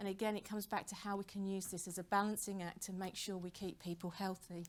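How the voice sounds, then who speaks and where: A woman with a British accent speaks at a very fast pace, her medium-pitched voice monotone and flat. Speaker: professor and rowing injury researcher. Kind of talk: conference lecture.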